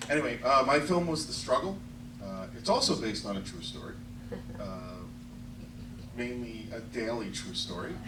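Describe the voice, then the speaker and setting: A man with a New York accent, medium pitch, moderate pace and lively intonation, plus noticeable background noise and audible room echo. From US, New York area. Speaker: independent filmmaker. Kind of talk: festival Q&A introduction.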